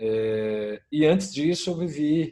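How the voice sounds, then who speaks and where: A man's fairly high voice with a dark, mellow tone and a Minas Gerais accent. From Brazil, Minas Gerais. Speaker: innovation consultant. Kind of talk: panel discussion.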